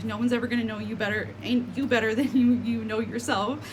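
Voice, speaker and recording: A very fast woman with an American accent, with audible room echo and noticeable background noise. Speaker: spiritual content creator. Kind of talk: casual vlog monologue. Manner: hesitant, many fillers.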